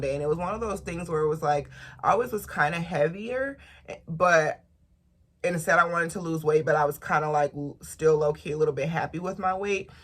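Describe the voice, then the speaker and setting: Somewhat breathy and fairly quick, a woman talks in a fairly low pitch with ordinary pitch variation and big swings in loudness. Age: 20s. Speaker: lifestyle and beauty vlogger. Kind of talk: casual vlog talk to camera.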